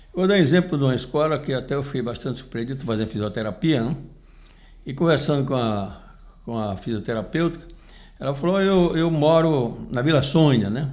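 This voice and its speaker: Amid audible room echo, a man with a fairly high pitch talks at a fairly quick pace with lively intonation. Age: 70s. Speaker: union leader and podcast commentator. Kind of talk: casual chat. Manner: halting, with frequent repetitions.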